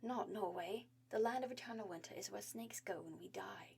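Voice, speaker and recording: Hissing through a put-on character voice, the speaker goes at a fairly quick pace. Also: female-sounding voice, medium pitch for a woman. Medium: read story. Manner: lecturing, gentle.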